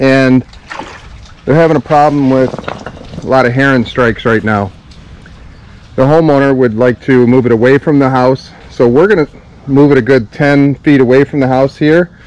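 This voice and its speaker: A man keeps his loudness very even while leaving long, frequent pauses. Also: fairly even intonation, moderate pace, dry sound with no echo. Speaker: pond contractor. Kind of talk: casual vlog chat. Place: garden. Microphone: phone near.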